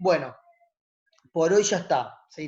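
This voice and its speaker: A man's normal speaking voice, fairly even in intonation, at a moderate pace. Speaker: teacher-training college lecturer. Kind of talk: online class lecture. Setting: video call.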